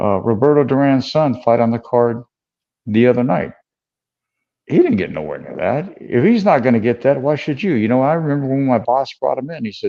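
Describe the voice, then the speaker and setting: Speaking at a fairly quick pace, a man uses a plain, everyday voice at medium pitch with lively intonation. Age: 60s. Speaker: combat sports manager and former boxer. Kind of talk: casual chat.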